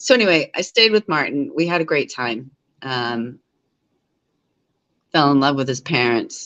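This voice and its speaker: A woman's very deep, low-pitched mumbling at a moderate pace, with lively intonation and long, frequent pauses. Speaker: live streamer. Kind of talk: casual chat. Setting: live stream from home living room. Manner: rambling, mumbling.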